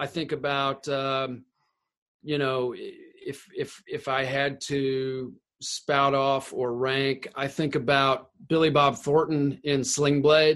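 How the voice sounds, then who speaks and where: Very slowly, a man with a fairly high pitch speaks in a monotone, flat intonation. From Tennessee. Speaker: actor. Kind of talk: casual interview. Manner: halting, many fillers and repetitions.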